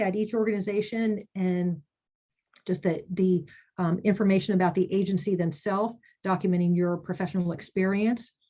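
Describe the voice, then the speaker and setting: A woman with a somewhat breathy, dark and mellow voice talks at a medium pitch and a moderate pace with fairly even intonation against a quiet background. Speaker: committee chair presenting to advocates. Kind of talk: webinar presentation. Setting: online webinar.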